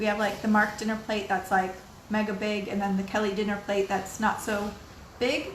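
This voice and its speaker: A woman at medium pitch with monotone, flat intonation, amid audible room echo and noticeable background noise. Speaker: video blogger. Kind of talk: casual vlog monologue. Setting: at home. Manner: fast.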